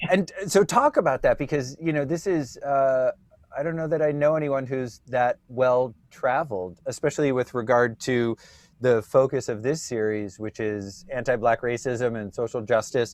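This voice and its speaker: A man's medium-pitched voice, ordinary pitch variation and moderate pace, with a dry, close sound and no echo. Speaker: podcast co-host. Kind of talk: interview.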